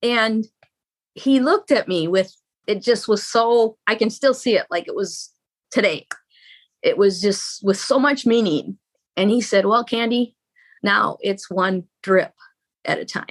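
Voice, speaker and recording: In a very clean recording with a silent background and a dry, close sound with no echo, a woman with an unremarkable speaking voice talks at a fairly high pitch and a fairly slow pace, with ordinary pitch variation. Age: 60s. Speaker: marriage coach. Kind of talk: interview.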